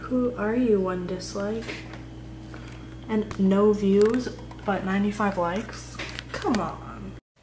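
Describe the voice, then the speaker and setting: Amid noticeable background noise and audible room echo, a woman speaks at a very slow pace with long, frequent pauses. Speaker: family vlogger. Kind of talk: casual vlog chat.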